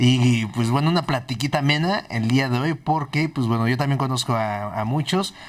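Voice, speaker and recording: A man with medium pitch and ordinary pitch variation, a plain, everyday voice, at a moderate pace with hardly any pauses. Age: 30s. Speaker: podcast host. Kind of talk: casual interview chat.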